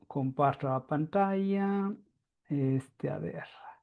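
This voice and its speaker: A very slow delivery in a non-native accent. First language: Italian (speaking Spanish). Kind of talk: lecture. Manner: halting.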